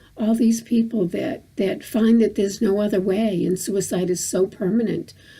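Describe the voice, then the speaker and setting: This woman's voice is somewhat breathy, pitched in the medium range with ordinary pitch variation. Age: 60s. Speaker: vlogger. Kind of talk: personal vlog monologue. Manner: halting, many repetitions and fillers.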